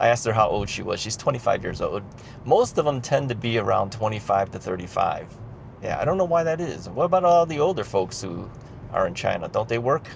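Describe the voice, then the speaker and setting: With an American accent, this man's voice climbs and dips in very wide pitch swings. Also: medium pitch for a man, fairly quick pace. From United States. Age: 60s. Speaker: retired vlogger. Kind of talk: casual vlog monologue. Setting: in a car. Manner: hesitant, many fillers.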